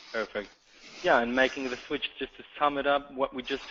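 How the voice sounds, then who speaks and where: In a slight German accent, a man speaks at medium pitch with monotone, flat intonation. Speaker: sales account manager. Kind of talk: webinar presentation. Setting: online webinar.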